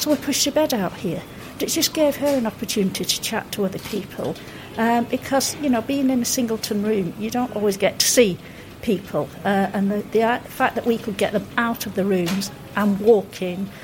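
A woman's fairly high voice with ordinary pitch variation at a moderate pace, amid noticeable background noise. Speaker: hospital volunteer. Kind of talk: casual interview chat.

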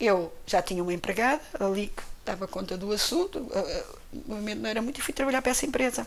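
A woman speaks at a fairly quick pace in a high pitch. Her pitch swings very widely. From Portugal, Cascais near Lisbon. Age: 60s. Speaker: retired airline employee. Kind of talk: interview testimony.

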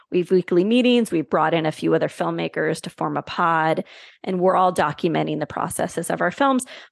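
Fairly quick, lively speech from a woman with an unremarkable speaking voice, fairly low in pitch, dry and close with no echo. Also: quiet background. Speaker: filmmaker and distribution consultant. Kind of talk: interview conversation.

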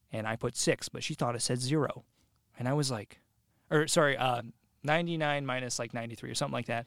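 A man speaks at a very fast pace and medium pitch with fairly even intonation, though he leaves long, frequent pauses. The sound is dry and close with no echo. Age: 20s. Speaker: podcast guest. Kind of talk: casual chat.

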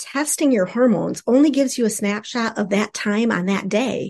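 Here is an unremarkable speaking voice from a woman with a fairly high pitch and ordinary pitch variation. The background is quiet. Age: 50s. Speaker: sex therapist and clinical social worker. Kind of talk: casual interview.

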